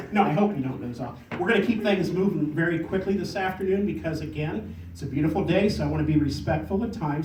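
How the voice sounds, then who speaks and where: A man with a high pitch talks at a fairly quick pace with lively intonation and hardly any pauses. Noticeable background noise sits under his voice. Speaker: poet. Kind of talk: casual talk to audience. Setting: live audience event.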